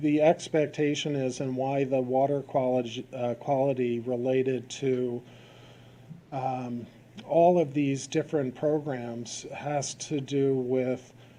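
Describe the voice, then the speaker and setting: A man talks at a very slow pace in a medium pitch, his tone dark and mellow and his intonation monotone and flat. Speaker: presenter at town meeting on bay water quality. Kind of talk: public presentation at selectboard meeting.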